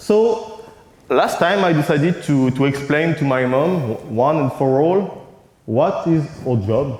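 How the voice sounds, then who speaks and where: Lively intonation in a French accent, with audible room echo and noticeable background noise. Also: man. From France. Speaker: conference keynote speaker, cartoonist. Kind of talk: conference keynote. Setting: stage with audience. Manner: halting, with frequent hesitations.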